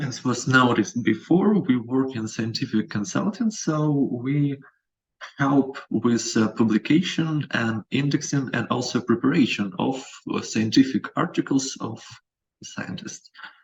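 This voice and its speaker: With a non-native accent, a man of medium pitch speaks at a fairly slow pace, somewhat breathy, with lively intonation. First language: not English. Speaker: company representative, presenter. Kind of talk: webinar presentation. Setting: video call. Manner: halting.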